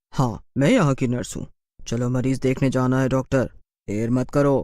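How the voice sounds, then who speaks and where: A man speaks in a cartoonish character voice. His pitch is medium and his pace moderate. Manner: curt, bossy.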